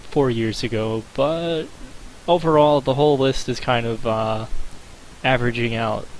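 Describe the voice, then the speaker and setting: A man at a fairly slow pace, amid noticeable background noise. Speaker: gaming video creator. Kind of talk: commentary video. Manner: hesitant with fillers.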